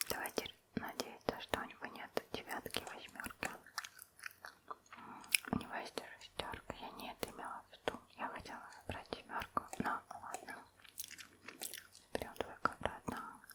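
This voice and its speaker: A woman whispers at a moderate pace with long, frequent pauses and big swings in loudness, against noticeable background noise. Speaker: ASMR gamer. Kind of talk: ASMR let's play commentary. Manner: whispered, soft.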